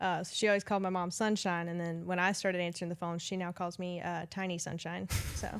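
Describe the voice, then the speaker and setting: Speaking very fast with a Southern accent, a woman uses a fairly low pitch and monotone, flat intonation in a very clean recording with a silent background. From US South. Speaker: customer service manager. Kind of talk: casual chat.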